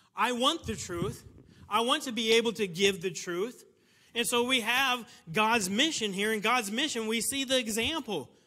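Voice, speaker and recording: A man with an American accent uses a raised, projected voice at a high pitch, with a bright, sharp tone. He keeps a moderate pace and ordinary pitch variation. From United States. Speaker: missionary preacher. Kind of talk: sermon. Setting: church. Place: church. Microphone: lapel.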